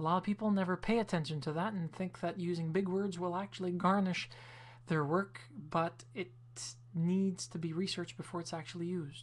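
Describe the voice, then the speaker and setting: A woman with a fairly low, somewhat breathy voice talks at a fairly quick pace. Her pitch shows ordinary variation. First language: French. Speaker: video blogger. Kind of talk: casual video response monologue.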